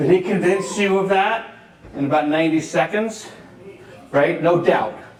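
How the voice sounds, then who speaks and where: A man with an American accent speaks at a high pitch and a moderate pace, with ordinary pitch variation. Noticeable background noise and audible room echo surround him. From New York. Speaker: real estate agent and speaker. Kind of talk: conference talk. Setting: stage with audience.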